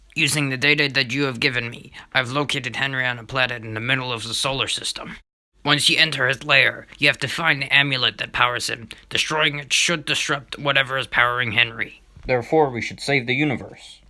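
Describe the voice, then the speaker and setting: Putting on a character voice, a man speaks in a raspy, medium pitch at a fairly quick pace, his intonation monotone and flat. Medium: cartoon.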